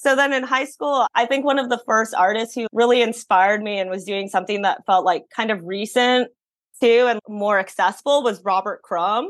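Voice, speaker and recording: Against a quiet background, a woman with a Californian accent talks at a fairly high pitch with ordinary pitch variation. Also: moderate pace. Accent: Californian American English. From San Francisco, US. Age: 30s. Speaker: painter and illustrator. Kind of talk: interview conversation.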